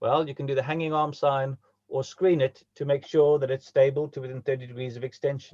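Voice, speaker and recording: Somewhat breathy and fairly high for a man, his voice moves at a fairly quick pace in a monotone, flat intonation. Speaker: orthopaedic surgeon. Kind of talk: lecture. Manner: fast.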